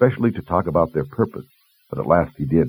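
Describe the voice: A man speaks at a fairly quick pace with extremely low pitch and a husky, rough edge. His pitch varies in an ordinary way.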